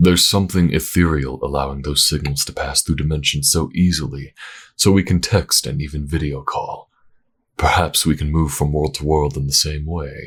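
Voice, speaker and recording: Man in a put-on character voice, very deep and low, at a moderate pace. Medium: read story.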